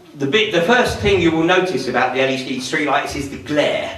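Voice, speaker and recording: A man speaks at a fairly high pitch with very wide pitch swings. The recording has noticeable background noise and audible room echo. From southern England, Surrey. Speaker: public speaker, activist. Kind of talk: public talk.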